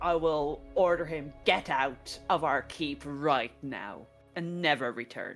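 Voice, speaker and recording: A woman's put-on character voice, very deep and low, at a fairly slow pace over clear background music. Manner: commanding, menacing.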